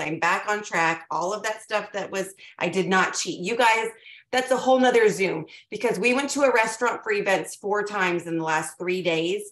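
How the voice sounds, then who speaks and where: In a raspy, put-on character voice, a woman speaks at medium pitch and a moderate pace. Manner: fast-talking, energized.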